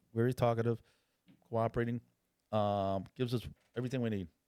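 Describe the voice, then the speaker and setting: Dry and close with no echo, a man speaks very fast in an animated tone. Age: 60s. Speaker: retired police officer and undercover drug agent. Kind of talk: casual interview storytelling.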